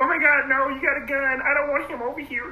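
Over clear background noise, a high-pitched put-on character voice rattles along at a very fast pace with monotone, flat intonation.

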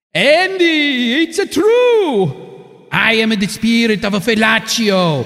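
A man does a put-on character voice in an Italian accent. His pitch is extremely high and his pace fairly slow. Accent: Italian stereotype.

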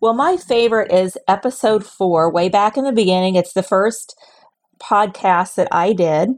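A woman speaks at a moderate pace in a medium pitch, with ordinary pitch variation. She has an ordinary speaking voice. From Southern Illinois. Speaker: travel agent. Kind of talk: casual interview chat.

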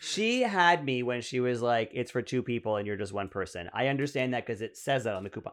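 Speaking at a fairly quick pace with hardly any pauses, a man in a Canadian accent has an unremarkable speaking voice, a medium pitch and ordinary pitch variation, recorded very cleanly against a silent background. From Ottawa, Canada. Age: 40s. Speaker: comedian. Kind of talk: casual chat.

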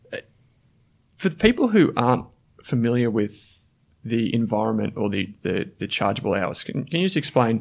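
Speaking fairly quickly with an Australian accent, a man uses lively intonation, a medium pitch and vocal fry on a very clean recording with a silent background. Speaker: podcast host. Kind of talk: interview conversation.

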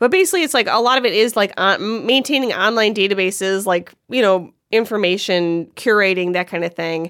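A woman with an American accent at a fairly quick pace, medium pitch and ordinary pitch variation, with hardly any pauses. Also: very clean recording, silent background. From Cleveland, Ohio. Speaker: comedy writer and director. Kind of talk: casual chat.

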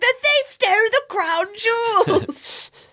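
Putting on a character voice, a woman speaks at an extremely high pitch and a very slow pace with lively intonation.

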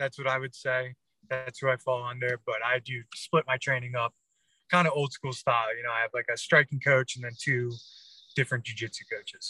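A man's bright, sharp tone in a flat monotone at a fairly quick pace, dry and close with no echo. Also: medium pitch for a man. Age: 30s. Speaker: pro MMA fighter. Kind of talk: casual interview.

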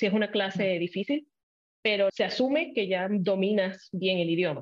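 In a Puerto Rican accent, a woman talks at a medium pitch and a fairly quick pace. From Puerto Rico. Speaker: TV journalist. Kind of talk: casual interview chat.

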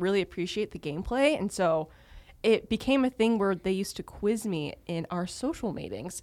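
A woman with an American accent talks at a moderate pace in an unremarkable speaking voice, her intonation lively. The recording is very clean, with a silent background. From Texas, US. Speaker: podcast host, league social media coordinator. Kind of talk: casual chat.

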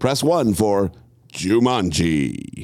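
Here a man uses a put-on character voice. It sits fairly low in pitch with very wide pitch swings. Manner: announcer-style.

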